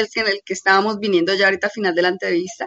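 A woman talks with ordinary variation in her pitch. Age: young. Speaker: student co-host. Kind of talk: radio talk show.

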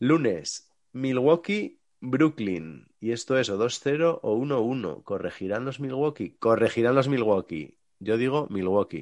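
Against a quiet background, a man speaks very slowly at medium pitch with lively intonation. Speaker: sports podcast host. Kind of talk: casual chat.

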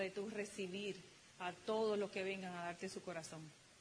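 A woman keeps a monotone, flat intonation at a moderate pace, with noticeable background noise behind her. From Dominican Republic. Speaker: motivational speaker, business couple. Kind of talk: motivational talk to audience.

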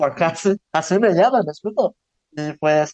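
A man's lively intonation at a fairly slow pace, in a dry, close sound with no echo. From Zan, Yucatán, Mexico. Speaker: visual artist. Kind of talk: interview.

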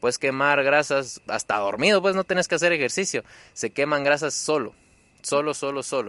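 A man with a fairly high, bright, sharp voice speaks at a moderate pace with lively intonation. The background is quiet, and the sound is dry and close, with no echo. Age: 20s. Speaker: weight-loss interviewee. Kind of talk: casual interview.

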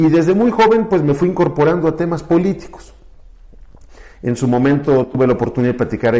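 A dark, mellow tone at a fairly quick pace, with very wide pitch swings. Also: man. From Mexico, Querétaro. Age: 40s. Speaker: lawyer and politician. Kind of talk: interview.

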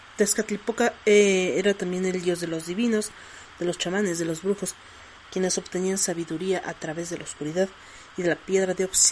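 A woman's medium-pitched voice at a fairly quick pace, with fairly even intonation and noticeable background noise. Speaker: podcast host. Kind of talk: casual monologue.

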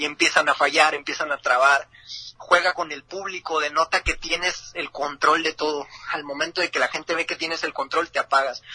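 Against noticeable background noise, a man with a fairly high pitch speaks at a moderate pace in a flat monotone, the sound dry and close with no echo. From northern Mexico, Ciudad Juárez. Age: 20s. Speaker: freestyle rapper. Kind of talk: interview.

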